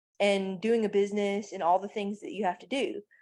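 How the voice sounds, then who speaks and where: A woman's medium-pitched voice comes through on a very clean recording with a silent background. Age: 30s. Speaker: life coach and mother. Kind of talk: podcast interview. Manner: halting, many fillers.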